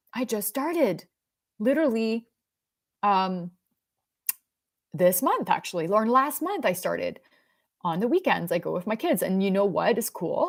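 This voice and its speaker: With a Canadian accent, a woman speaks at a fairly high pitch and a moderate pace, her pitch swinging very widely. She leaves long, frequent pauses. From Quebec, rural anglophone village. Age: 40s. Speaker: self-help speaker. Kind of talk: motivational talk. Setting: livestream. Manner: rambling, halting.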